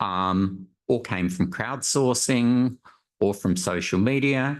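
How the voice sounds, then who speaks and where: A man with an Australian accent speaks, the background around him quiet. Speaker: panel moderator, survey methodologist. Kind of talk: conference panel moderation. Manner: frequent filler words, hesitant.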